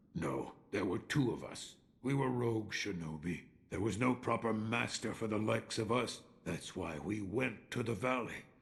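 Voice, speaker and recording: This man uses a put-on character voice of medium pitch, with lively intonation and a moderate pace. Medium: video game. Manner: calm, reflective.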